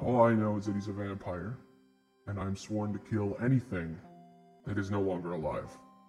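Long, frequent pauses break up a put-on character voice while faint music plays in the background. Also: man, fairly low pitch for a man, moderate pace. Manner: grim, earnest, determined.

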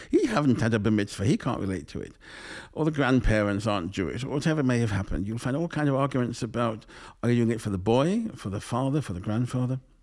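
In a very clean recording with a silent background, a man talks at a very fast pace. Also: medium pitch for a man, ordinary pitch variation. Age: 60s. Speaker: rabbi. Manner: articulate, reflective, storyteller.

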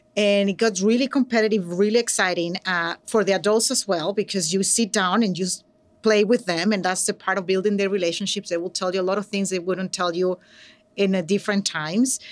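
Speaking at a fairly quick pace with a Venezuelan accent, a woman uses a medium pitch and fairly even intonation in a very clean recording with a silent background. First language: Spanish. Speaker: educator and nonprofit program director. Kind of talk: conversational interview. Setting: live recording at a conference. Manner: hesitant, many filler words.

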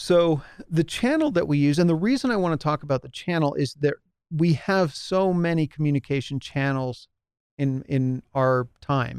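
A man's fairly high voice, an unremarkable speaking voice, with ordinary pitch variation at a moderate pace in a dry, close sound with no echo. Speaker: podcast host and small business advisor. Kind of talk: solo podcast talk to audience. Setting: home studio with lit background, live stream. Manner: casual, many fillers.

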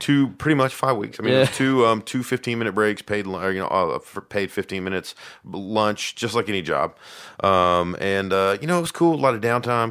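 Recorded very cleanly against a silent background, a man speaks at a fairly low pitch in a relaxed tone with ordinary pitch variation. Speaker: podcast host; call center tech support worker. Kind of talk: casual, profane banter. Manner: smooth, relaxed delivery.

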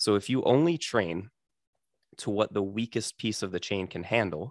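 A man's fairly low voice, a normal speaking voice, at a moderate pace with ordinary pitch variation, dry and close with no echo, over a quiet background. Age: 20s. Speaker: physical therapist for grapplers. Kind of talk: casual interview.

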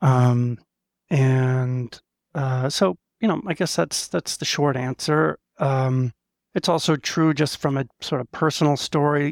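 A man with an American accent speaks at a fairly slow pace, his pitch fairly high with ordinary pitch variation, in a normal speaking voice. The recording is very clean, dry and close with no echo, over a silent background. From US Northeast, Maine. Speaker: business executive. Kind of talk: interview.

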